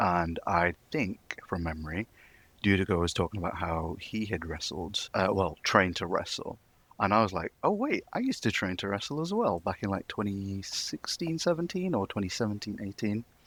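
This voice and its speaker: In a Manchester accent, a man with a fairly low pitch speaks at a moderate pace and with lively intonation. The sound is dry and close with no echo, on a very clean recording with a silent background. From northern England, Manchester. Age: 20s. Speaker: wrestling fan community member. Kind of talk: casual chat.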